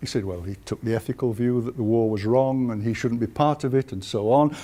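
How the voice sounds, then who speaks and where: A man with a Yorkshire accent, a medium pitch and a dark, mellow tone. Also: ordinary pitch variation, fairly quick pace. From northern England, Huddersfield (West Yorkshire). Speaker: historian. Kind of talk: lecture.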